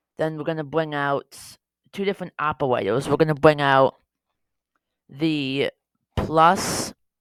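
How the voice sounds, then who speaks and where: The sound is dry and close, with no echo. The speaker moves at a fairly slow pace. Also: woman. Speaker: Scratch tutorial creator. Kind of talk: tutorial. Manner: casual, with fillers.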